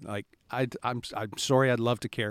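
A man speaks in an unremarkable speaking voice at a medium pitch. The sound is dry and close with no echo, and the recording is very clean against a silent background. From Nova Scotia, Canada. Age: 50s. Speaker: radio talk show host. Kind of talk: casual interview chat. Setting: studio.

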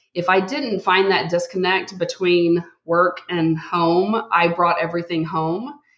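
A woman speaks at a fairly low pitch with a Texan accent. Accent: Southern US (Texan). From Texas. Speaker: healthcare executive. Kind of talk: casual interview chat.

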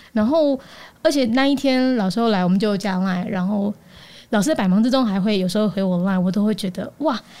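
A woman talks at a fairly quick pace in a dark, mellow tone with ordinary pitch variation. The recording is very clean, with a silent background. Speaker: news podcaster. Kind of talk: casual chat.

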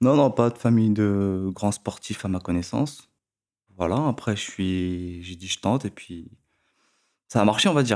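Here a man with a fairly low pitch speaks at a fairly slow pace, using long, frequent pauses and ordinary pitch variation. The recording is very clean, with a silent background. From France, Créteil (Paris suburbs). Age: 20s. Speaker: former pro swimmer and swim coach. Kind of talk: casual chat. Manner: direct.

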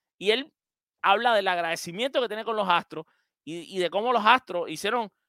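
The voice is raised and projected, with lively intonation, a bright, sharp tone and a moderate pace, recorded dry and close with no echo. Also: man. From Cuba. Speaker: sports podcast host. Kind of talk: casual chat with call-in listeners.

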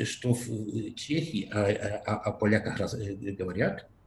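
The speaker is a man. He has a Polish accent. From Poland, Lesser Poland region. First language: Polish (speaking Russian). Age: 40s. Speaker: podcast guest, Russian learner from Poland. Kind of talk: casual interview. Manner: halting, many repetitions and fillers.

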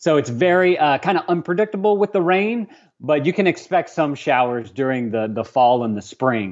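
With an American accent, this man talks at a moderate pace in a fairly high pitch, his voice swinging very widely in pitch. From Louisiana, Lafayette. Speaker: travel vlogger. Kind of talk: casual interview.

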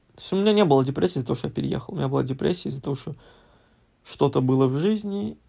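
Very fast but broken by long, frequent pauses, a man's dark, mellow, somewhat breathy voice moves with lively intonation. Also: fairly high pitch for a man. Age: 20s. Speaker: podcast guest, host's husband. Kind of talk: casual chat.

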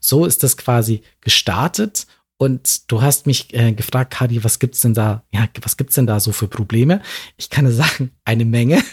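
At a moderate pace and medium pitch, a man sounds somewhat breathy with ordinary pitch variation, on a very clean recording with a silent background and a dry, close sound with no echo. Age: 40s. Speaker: LGBTIQ+ advocate and company founder. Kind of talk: interview.

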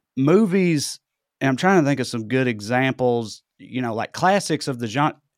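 A man with a Southern US accent and a medium pitch at a moderate pace, dry and close with no echo, in a very clean recording with a silent background. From US South (Tennessee). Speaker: comedian. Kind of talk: casual chat.

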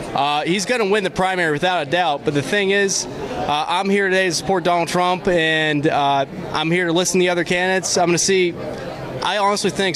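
A man with an American accent and ordinary pitch variation, with crowd noise in the background. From western Pennsylvania. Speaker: local party precinct official. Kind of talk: vox pop interview. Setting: conference floor.

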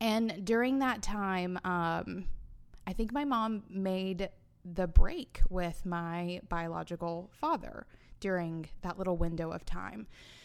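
Very slow speech from a woman with a Southern US accent, medium pitch and ordinary pitch variation. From US South, Alabama. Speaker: podcaster and business owner. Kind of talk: casual interview.

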